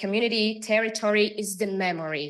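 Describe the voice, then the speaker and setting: The background is quiet while a woman talks. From Brazil. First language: Portuguese. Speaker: museum curator. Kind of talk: panel talk. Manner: halting, many repetitions and fillers.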